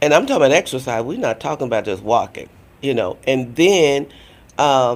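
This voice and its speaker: A man with a fairly high voice talks at a moderate pace, using lively intonation and vocal fry. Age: 70s. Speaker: breast cancer survivor and nonprofit founder. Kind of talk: interview.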